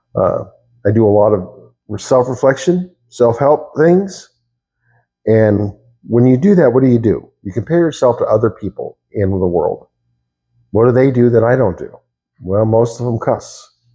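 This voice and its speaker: A man talks fairly slowly in a medium-pitched, dark, mellow, somewhat breathy voice. His intonation is lively, broken by long, frequent pauses. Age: 60s. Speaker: YouTuber talking about himself. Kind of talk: casual monologue, self-reflection. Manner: hesitant, with fillers and repetitions.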